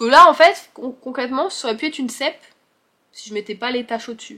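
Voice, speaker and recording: Lively intonation and vocal fry run through a woman's bright, sharp tone. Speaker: book and crochet vlogger. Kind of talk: casual vlog chat. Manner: hesitant, filler-heavy.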